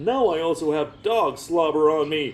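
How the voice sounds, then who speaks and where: A man's put-on character voice, fairly high in pitch. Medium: read story. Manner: sarcastic, complaining.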